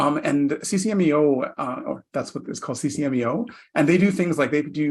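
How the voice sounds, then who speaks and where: Fairly high in pitch with ordinary variation, a man with a Canadian accent talks at a fairly quick pace. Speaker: federal public servant, planning and reporting. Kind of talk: virtual panel presentation. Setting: virtual session. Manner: fast.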